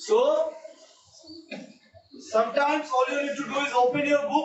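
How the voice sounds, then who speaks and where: A man's extremely high voice, fairly slow and lively in intonation, with audible room echo. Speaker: maths teacher. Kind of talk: online class lecture. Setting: hybrid classroom with students online. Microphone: network issue, voice breaking.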